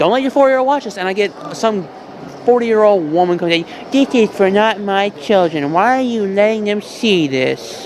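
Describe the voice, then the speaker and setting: A moderate pace with noticeable background noise. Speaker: artist. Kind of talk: casual chat. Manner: slurred.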